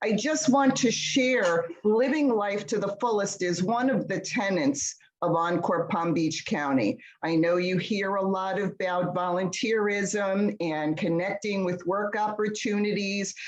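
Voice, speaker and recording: With noticeable background noise, a woman talks at a fairly slow pace with hardly any pauses and ordinary pitch variation. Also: medium pitch for a woman. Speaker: event host. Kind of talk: event introduction.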